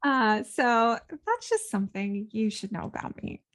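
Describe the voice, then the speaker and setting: A woman talks at a fairly slow pace with fairly even intonation. Her pitch is fairly high, and the sound is dry and close with no echo. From Ukraine (Kyiv), moved to US at seven. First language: Russian. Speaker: podcast host and art career coach. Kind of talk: casual podcast monologue. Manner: conversational with many fillers.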